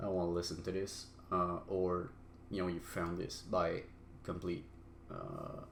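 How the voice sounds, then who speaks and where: Speech comes at a fairly slow pace with a non-native accent and long, frequent pauses. The intonation is monotone and flat, with audible room echo. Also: man, very deep, low pitch for a man. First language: not English. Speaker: solo podcaster. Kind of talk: personal monologue. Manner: halting, many fillers.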